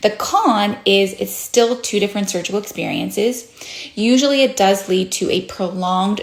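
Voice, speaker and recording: There is noticeable background noise as a woman speaks at medium pitch and a moderate pace, with ordinary pitch variation. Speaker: plastic surgeon. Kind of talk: educational explainer.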